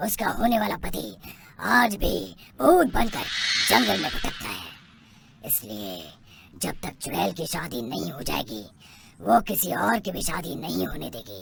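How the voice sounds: A cartoonish character voice swings very widely in pitch and has big swings in loudness. It leaves long, frequent pauses. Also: man, medium pitch for a man, moderate pace.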